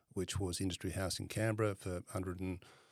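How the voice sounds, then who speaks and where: A man with an Australian accent speaks in a very deep, low voice with flat, monotone intonation on a very clean recording with a silent background. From Western Australia (Perth). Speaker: property fund manager. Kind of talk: interview.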